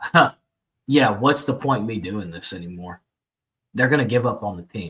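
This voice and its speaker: A man speaks at a medium pitch in a bright, sharp tone. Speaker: sports podcast host. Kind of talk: casual sports chat. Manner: fast.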